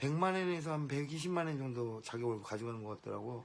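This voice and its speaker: A man's medium-pitched voice with lively intonation, at a moderate pace. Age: 50s. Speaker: business owner. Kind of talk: casual monologue vlog. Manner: hesitant, with false starts.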